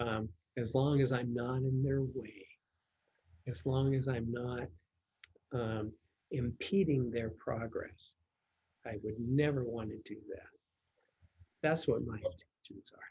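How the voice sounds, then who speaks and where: A man with a dark, mellow tone and medium pitch speaks very slowly and somewhat breathily. His pitch varies in an ordinary way, and he takes long, frequent pauses. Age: 70s. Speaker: pest control company executive. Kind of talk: interview. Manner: halting, many fillers.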